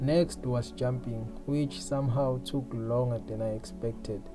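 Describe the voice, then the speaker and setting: Fairly slow speech with ordinary pitch variation, over music in the background. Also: man. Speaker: indie game developer. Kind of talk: casual devlog narration.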